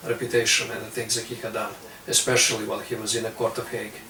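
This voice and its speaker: Noticeable background noise sits behind a monotone, flat delivery. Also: man. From Serbia, near Romanian border. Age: 20s. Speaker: young political activist. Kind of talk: interview.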